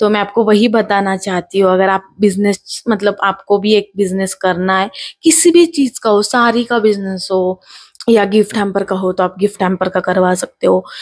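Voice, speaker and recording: The woman's pitch is medium. She speaks at a moderate pace. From Maharashtra, India. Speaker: small business owner. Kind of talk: casual vlog advice talk. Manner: halting, many fillers.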